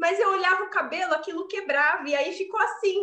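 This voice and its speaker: A woman's extremely high, bright, sharp voice in an animated tone at a moderate pace. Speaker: podcast host and university lecturer. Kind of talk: casual chat.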